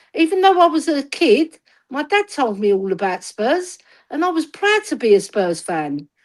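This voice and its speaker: A high-pitched woman with a London accent, with very wide pitch swings and a moderate pace. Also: very clean recording, silent background. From north London, Tottenham. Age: 60s. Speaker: football fan. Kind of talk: casual chat. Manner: animated.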